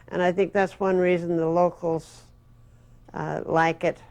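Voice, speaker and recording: Moderate speed from a woman speaking in an American accent. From Las Vegas, Nevada. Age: 70s. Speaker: sign designer. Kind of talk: interview testimony. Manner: halting, many fillers.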